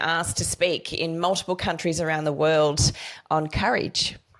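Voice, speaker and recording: Here a woman speaks with an Australian accent. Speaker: podcast host. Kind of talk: interview.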